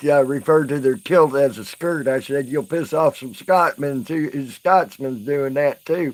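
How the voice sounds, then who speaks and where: A man with a Southern US accent and a fairly high pitch speaks at a fairly slow pace with ordinary pitch variation and hardly any pauses. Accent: southern twang. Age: 40s. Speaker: live streamer. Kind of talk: casual live stream chat. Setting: live stream.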